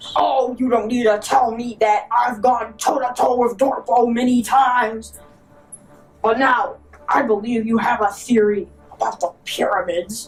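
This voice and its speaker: A female-sounding put-on character voice, fairly high in pitch, with faint music in the background. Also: moderate pace. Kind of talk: parody documentary host. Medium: stage play. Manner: earnest, boastful.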